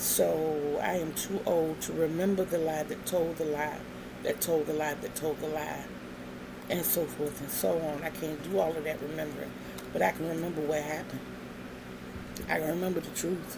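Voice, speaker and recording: Moderate pace with long, frequent pauses and ordinary pitch variation, plus audible room echo and noticeable background noise. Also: woman, very deep, low pitch for a woman. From Virginia. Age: 60s. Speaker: craft vlogger. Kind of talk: casual vlog monologue.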